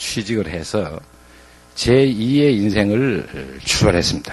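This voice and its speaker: A man is speaking. His pace is very slow. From Gyeongsang, Korea (Gyeongsan). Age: 60s. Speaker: former business executive turned motivational speaker. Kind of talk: motivational talk.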